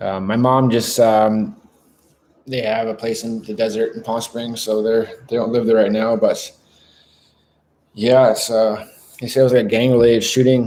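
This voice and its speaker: A man with a Canadian accent and a dark, mellow tone speaks in a medium pitch with monotone, flat intonation at a moderate pace, leaving long, frequent pauses. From Canada (Vancouver). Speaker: live streamer. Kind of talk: casual live stream chat. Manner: hesitant, many fillers.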